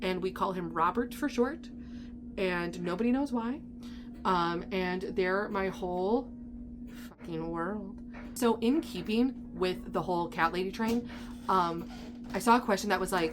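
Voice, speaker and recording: A woman speaks at medium pitch with an upbeat tone and ordinary pitch variation. Her fairly slow delivery includes long, frequent pauses. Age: 30s. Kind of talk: casual talk to camera. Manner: chatty, upbeat.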